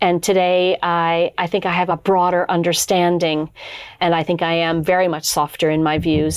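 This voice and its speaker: In a Canadian accent, a woman speaks at a moderate pace with monotone, flat intonation against a quiet background. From Canada, Toronto. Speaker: company founder and board member. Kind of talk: interview.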